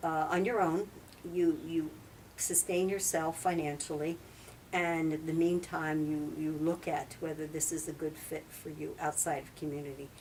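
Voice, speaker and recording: Speaking in monotone, flat intonation, a woman with an American accent holds a moderate pace in a fairly low pitch. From New Jersey. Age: 70s. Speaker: retired nurse and former nun. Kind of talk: interview. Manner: halting.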